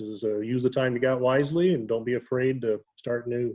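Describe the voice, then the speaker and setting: With an Ohio accent, a man speaks in fairly even intonation. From Ohio, Dayton area. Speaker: former police officer, fraud investigator. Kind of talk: casual chat.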